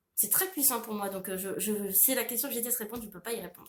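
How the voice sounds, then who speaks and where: A woman's voice sits at a fairly high pitch and sounds somewhat breathy. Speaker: author and illustrator. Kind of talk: Q&A monologue to camera. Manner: hesitant, many fillers.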